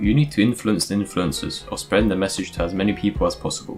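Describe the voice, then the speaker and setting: Over music in the background, a man talks at a fairly quick pace in a fairly low pitch with ordinary pitch variation. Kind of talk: explainer talk on current affairs. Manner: casual.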